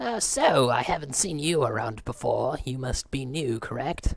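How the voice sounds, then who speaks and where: A man performs a put-on character voice. His pitch sits in the medium range. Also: moderate pace, ordinary pitch variation. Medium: game stream. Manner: overly cheerful, polite.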